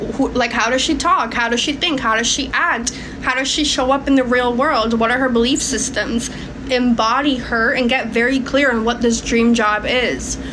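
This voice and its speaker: Over noticeable background noise and audible room echo, a woman with a Florida accent speaks at a high pitch and moderate pace, her intonation fairly even and her loudness very even. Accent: American, Florida. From Hungary, Budapest; moved to Florida at seven. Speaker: manifestation coach livestreamer. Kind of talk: livestream Q&A, reading viewer questions. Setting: live stream.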